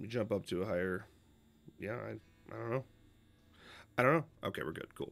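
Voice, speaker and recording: Fairly low-pitched with vocal fry, a man speaks at a fairly quick pace with long, frequent pauses. His tone is animated and his intonation lively. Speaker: gaming streamer. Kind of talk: casual live stream reaction chat. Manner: animated, rambling. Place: home room.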